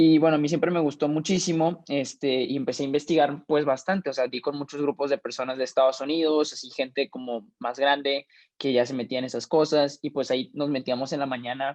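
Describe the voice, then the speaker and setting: Against a quiet background, a man talks at a fairly quick pace with hardly any pauses, using a fairly high pitch and fairly even intonation. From Mexico. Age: 20s. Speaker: young investor and finance mentor. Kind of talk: interview. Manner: halting, many fillers.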